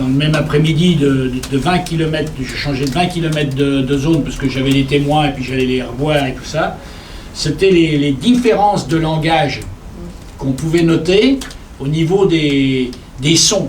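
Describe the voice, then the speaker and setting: A man speaks at a moderate pace with a fairly high pitch and ordinary pitch variation. The room echo is audible, and there is noticeable background noise. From Poitou plain, near Cherves. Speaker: traditional music collector. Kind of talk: seminar panel discussion.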